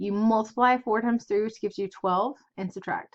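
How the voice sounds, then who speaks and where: Her pitch fairly high and her intonation fairly even, a woman talks at a moderate pace. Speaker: math teacher. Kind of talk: lecture.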